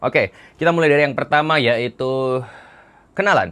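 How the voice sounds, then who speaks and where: A man speaks in an animated tone. His voice is fairly high in pitch. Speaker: dating coach. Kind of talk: online course preview.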